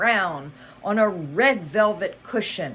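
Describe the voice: What you hear is plain reading aloud.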